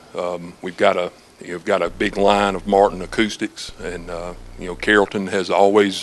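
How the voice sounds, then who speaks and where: A man with an American accent speaks at a moderate pace and a fairly low pitch. His intonation is monotone and flat, while his loudness swings a lot. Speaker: music store staff. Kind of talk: infomercial interview answer. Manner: casual, friendly.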